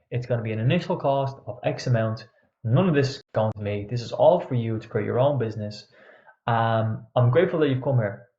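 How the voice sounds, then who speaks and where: An energetic tone at a fairly quick pace, with ordinary pitch variation. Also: man, medium pitch for a man. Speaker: online coach. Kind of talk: webinar presentation. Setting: pre-recorded online event. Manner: fast.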